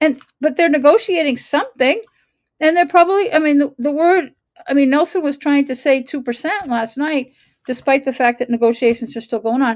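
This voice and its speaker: A woman talks fairly quickly in a high pitch. Her tone is animated and her intonation lively. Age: 60s. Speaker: local civic commentator. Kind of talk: casual commentary.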